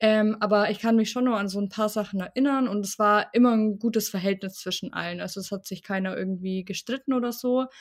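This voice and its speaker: A woman speaks in an ordinary speaking voice at a fairly quick pace, with hardly any pauses, fairly high pitch and fairly even intonation. The recording is very clean, with a silent background. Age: 20s. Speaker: bereaved interviewee. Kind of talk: personal testimony in interview. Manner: casual, colloquial.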